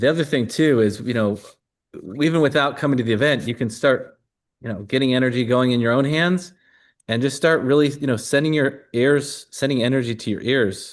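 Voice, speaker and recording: Talking at a fairly quick pace, a man has a plain, everyday voice at medium pitch with ordinary pitch variation. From US Midwest (Glendale Heights, Illinois). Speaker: energy healing coach. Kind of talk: live online workshop demonstration.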